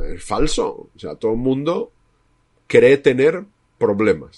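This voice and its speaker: Big swings in loudness at a very slow pace. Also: man. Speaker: psychologist, podcast co-host. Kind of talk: casual discussion.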